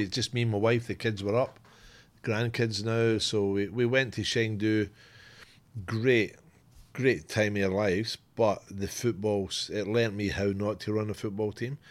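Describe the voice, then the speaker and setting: At a moderate pace, the speaker talks in a Scottish accent on a very clean recording with a silent background. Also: man. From Scotland. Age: 50s. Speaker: football club executive, former coach. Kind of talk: casual chat.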